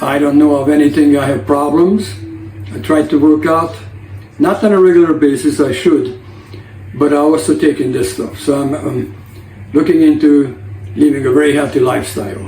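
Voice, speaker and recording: A man speaks with lively intonation and long, frequent pauses, with audible room echo and noticeable background noise. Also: fairly high pitch for a man, moderate pace. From Hungary. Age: 60s. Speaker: lifestyle vlogger. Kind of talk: casual vlog talk to camera.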